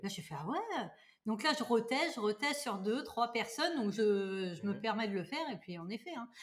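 Somewhat breathy and fairly high, a woman's voice moves at a fairly quick pace with lively intonation. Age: 30s. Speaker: Reiki master and energy practitioner. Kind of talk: casual chat.

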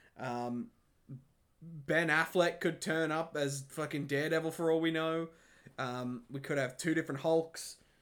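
In a very clean recording with a silent background, a man with an unremarkable speaking voice, fairly high in pitch, talks at a moderate pace with ordinary pitch variation. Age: 20s. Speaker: podcast co-host. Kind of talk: casual chat.

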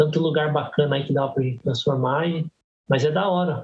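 Somewhat breathy, a man speaks in a fairly high pitch. His pace is moderate. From Brazil, Guarulhos (São Paulo). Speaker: graffiti artist and tattooist. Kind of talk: casual podcast interview.

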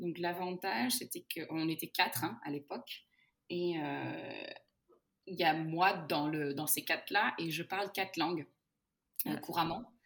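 A woman speaks at a fairly slow pace, her pitch fairly low with ordinary variation. Her speech is broken by long, frequent pauses. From Portugal and Brazil (Luso-Brazilian). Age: 30s. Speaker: head of customer success at a software company. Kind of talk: podcast interview.

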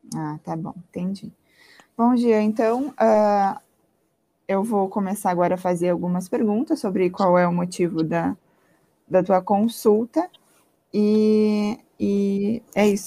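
A woman's dark, mellow tone at a very slow pace, ordinary pitch variation, and long, frequent pauses. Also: medium pitch for a woman. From Santa Maria, Rio Grande do Sul, Brazil. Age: 20s. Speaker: university student. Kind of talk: role-play medical consultation practice.

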